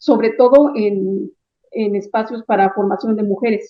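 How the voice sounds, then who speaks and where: Speaking at a fairly slow pace, a woman has a plain, everyday voice pitched fairly high. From Chiapas, Mexico. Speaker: writer, translator and visual artist. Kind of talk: interview answer.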